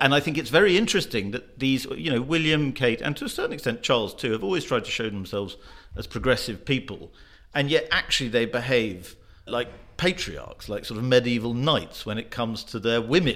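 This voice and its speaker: Lively intonation marks this man's medium-pitched voice, with a British accent. He talks at a fairly quick pace. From Britain. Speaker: magazine journalist. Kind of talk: panel discussion.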